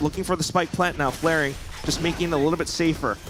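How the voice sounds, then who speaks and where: A man's voice is high in pitch. Noticeable noise sits in the background. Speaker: esports caster. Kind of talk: live commentary. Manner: fast.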